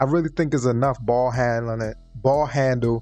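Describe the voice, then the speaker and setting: A man talks with fairly even intonation. Behind his voice, there is music. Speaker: gaming YouTuber. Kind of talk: tutorial. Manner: halting, self-correcting; casual.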